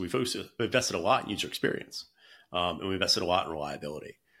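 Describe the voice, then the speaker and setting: Speaking at a very fast pace with an American accent, a man with a very deep, low pitch has a bright, sharp tone. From US South, North Carolina. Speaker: startup founder and CEO. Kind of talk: interview. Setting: remote call. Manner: casual, filler-heavy.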